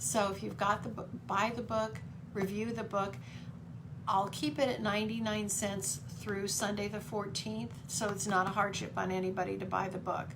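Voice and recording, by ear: A woman speaks at a medium pitch, her voice showing little pitch movement. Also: moderate pace.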